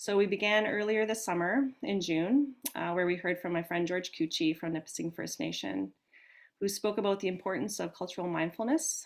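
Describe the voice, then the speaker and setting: At a moderate pace, a woman speaks in an ordinary speaking voice with medium pitch and ordinary pitch variation. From Canada, northern Ontario. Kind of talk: webinar hosting introduction. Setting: live online webinar.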